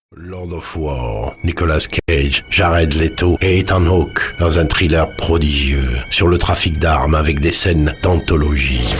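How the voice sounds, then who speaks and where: A man speaks in a very deep, low voice with ordinary pitch variation, over music in the background. His pace is very slow, yet he hardly pauses. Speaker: voice actor. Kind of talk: film DVD trailer read.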